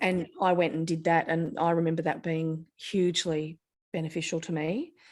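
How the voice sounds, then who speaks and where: A woman with an Australian accent speaks at a moderate pace in a fairly low pitch with monotone, flat intonation. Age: 50s. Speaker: ADHD guest, digital marketer. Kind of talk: interview.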